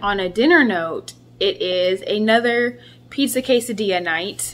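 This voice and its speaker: Noticeable background noise sits behind a woman's voice. She talks at a fairly slow pace with ordinary pitch variation. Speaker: vlogger. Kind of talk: casual vlog chat. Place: kitchen. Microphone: phone near.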